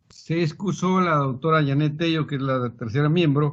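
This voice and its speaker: Somewhat breathy, a man with a fairly high pitch talks at a fairly slow pace with ordinary pitch variation. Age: 60s. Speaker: supreme court judge. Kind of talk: formal presentation to a congressional committee. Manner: formal.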